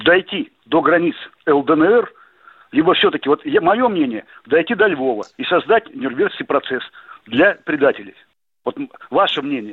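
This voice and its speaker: A man's fairly slow speech, with very wide pitch swings and long, frequent pauses. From Russia, Novosibirsk. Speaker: caller. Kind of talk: radio call-in question. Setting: phone call.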